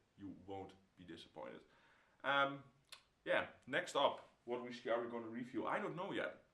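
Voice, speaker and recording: Medium-pitched man with a Dutch accent, a bright, sharp tone and lively intonation at a moderate pace, with audible room echo. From Netherlands. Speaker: whisky reviewer. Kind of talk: product review; casual review vlog chat. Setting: home room. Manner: halting, with many fillers. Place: home room.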